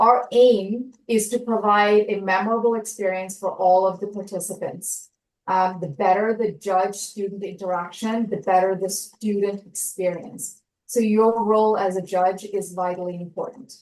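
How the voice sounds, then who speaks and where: Here is an ordinary speaking voice from a woman at a medium pitch. She keeps a moderate pace and fairly even intonation. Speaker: science fair workshop presenter. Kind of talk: online orientation presentation.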